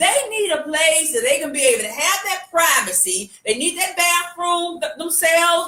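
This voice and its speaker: This woman's pitch is extremely high. She uses a raised, projected voice at a moderate pace. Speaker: live show co-host. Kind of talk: casual chat. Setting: live video stream. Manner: halting, repeats words.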